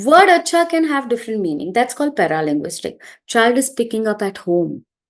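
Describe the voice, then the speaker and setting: Against a quiet background, a woman speaks with a Gujarati accent. Her pitch is high and her pace moderate. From India, Gujarati background. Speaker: early childhood educator and trainer. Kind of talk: interview talk, advice to parents.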